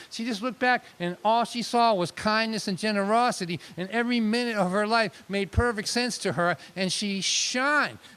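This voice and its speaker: Bright and sharp in tone, a man's high-pitched, animated voice moves at a moderate pace with ordinary pitch variation and hardly any pauses. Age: 60s. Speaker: storyteller performer. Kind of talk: storytelling monologue.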